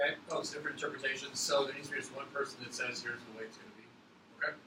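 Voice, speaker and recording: A man rattles along at a very fast pace. His recording has audible room echo and noticeable background noise. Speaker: teacher. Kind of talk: classroom instruction. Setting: classroom. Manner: mumbling.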